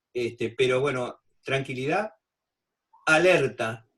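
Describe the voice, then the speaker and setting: A man's medium-pitched, somewhat breathy voice with lively intonation. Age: 60s. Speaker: physician. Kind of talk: expert talk in a video panel. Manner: halting with many fillers.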